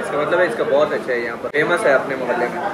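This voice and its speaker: Loud background noise surrounds a man's voice. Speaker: food vlogger. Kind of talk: casual vlog chat. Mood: relaxed, appreciative. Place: cafe. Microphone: phone near.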